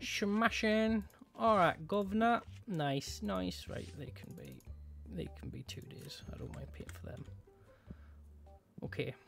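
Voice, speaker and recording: The speech moves at a very slow pace with long, frequent pauses while music plays in the background. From northern England, Newcastle area. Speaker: gaming YouTuber. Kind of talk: gameplay commentary. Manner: casual, chatty.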